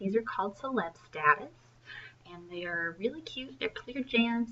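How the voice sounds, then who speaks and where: A voice with very wide pitch swings moves at a moderate pace over noticeable background noise. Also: woman. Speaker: independent sales consultant. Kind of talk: tutorial. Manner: hesitant, many ums.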